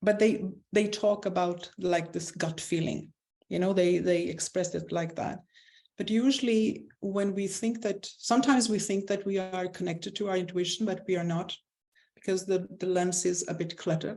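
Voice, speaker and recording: A woman speaks at a medium pitch with a dark, mellow tone. Her intonation is fairly even and her pace is moderate. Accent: non-native. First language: not English. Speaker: spiritual coach. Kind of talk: interview.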